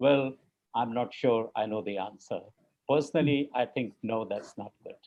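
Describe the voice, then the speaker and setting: A man with a plain, everyday voice and medium pitch talks at a moderate pace, using ordinary pitch variation. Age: 60s. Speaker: cardiac surgeon. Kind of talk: panel discussion.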